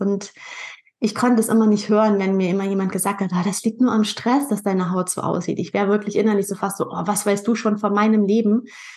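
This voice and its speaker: In a somewhat breathy voice at a medium pitch, a woman talks at a fairly quick pace with monotone, flat intonation. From northern Germany, Pinneberg near Hamburg. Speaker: nutrition and skin health coach, podcaster. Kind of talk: interview.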